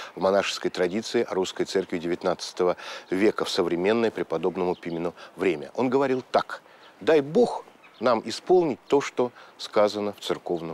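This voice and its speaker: An unremarkable speaking voice at a moderate pace, with lively intonation and a dry sound with no echo. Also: man, fairly low pitch for a man. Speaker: presenter. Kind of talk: documentary narration to camera. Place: garden.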